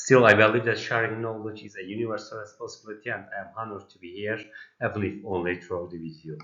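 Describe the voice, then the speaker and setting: A man with a Turkish accent, fairly low pitch, very fast pace, fairly even intonation and big swings in loudness. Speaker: pediatric nursing academic. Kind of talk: prerecorded presentation. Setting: recorded video played at virtual event.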